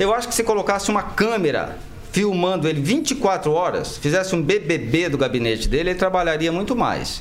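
A high-pitched man speaks at a moderate pace with lively intonation. There is noticeable background noise. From Brazil, Maringá, Paraná. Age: 40s. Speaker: lawyer and mayoral pre-candidate. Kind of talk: radio interview. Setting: radio studio.

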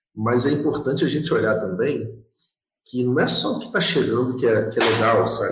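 A man at very even loudness, with audible room echo. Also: moderate pace. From Rio de Janeiro, West Zone. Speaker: podcast co-host. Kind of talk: casual chat.

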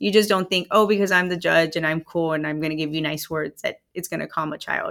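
Talking at a very fast pace with vocal fry, a woman with an American accent comes through on a very clean recording with a silent background. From Texas, Rio Grande Valley (Hidalgo County). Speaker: juvenile court judge. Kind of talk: interview. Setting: in person, in the courthouse.

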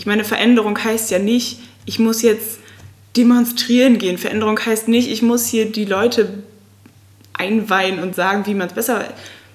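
A woman's fairly high voice with fairly even intonation amid noticeable background noise. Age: 20s. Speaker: student and food-sharing volunteer. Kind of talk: casual interview chat.

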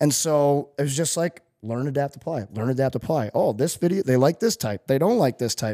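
A normal speaking voice with lively intonation and hardly any pauses, recorded dry and close with no echo on a very clean track over a silent background. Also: man, fairly high pitch for a man. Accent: American. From US Midwest, St. Louis. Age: 30s. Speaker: former pro hockey player and personal trainer. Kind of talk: casual interview chat.

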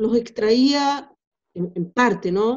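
A woman speaks with a fairly high pitch and a dark, mellow tone. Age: 50s. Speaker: philosopher and essayist. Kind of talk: interview. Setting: remote call. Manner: halting, with frequent repetitions.

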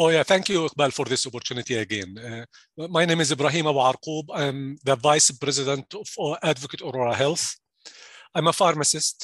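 Against a quiet background with a dry, close sound and no echo, a man speaks fairly quickly in a fairly high pitch, with ordinary pitch variation. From Jordan. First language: Arabic. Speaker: pharmacy executive. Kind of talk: interview. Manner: halting.

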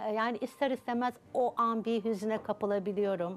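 Speaking at a fairly slow pace, a woman has a fairly high pitch and an ordinary speaking voice. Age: 60s. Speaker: subconscious transformation coach. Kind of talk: TV interview.

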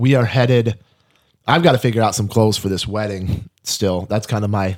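A man speaks at a fairly quick pace with a fairly low pitch in a plain, everyday voice. The recording is very clean, with a silent background. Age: 30s. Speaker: podcast host. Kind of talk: casual chat. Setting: studio.

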